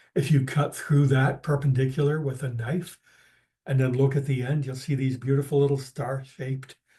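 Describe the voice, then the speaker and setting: A man speaks at a moderate pace with a medium pitch, a somewhat breathy, dark and mellow tone, and a monotone, flat delivery. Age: 70s. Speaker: naturalist presenter. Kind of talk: lecture. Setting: video call.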